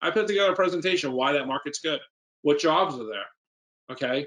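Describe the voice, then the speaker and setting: In a New York accent, a man talks with ordinary pitch variation. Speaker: real estate investor. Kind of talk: Q&A at a seminar.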